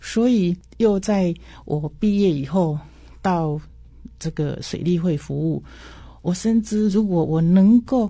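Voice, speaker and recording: Speaking at a very slow pace, a woman with a fairly low pitch and a dark, mellow, somewhat breathy tone uses ordinary pitch variation on a very clean recording with a silent background. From Taiwan, Changhua County. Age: 60s. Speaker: irrigation agency director. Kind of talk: interview.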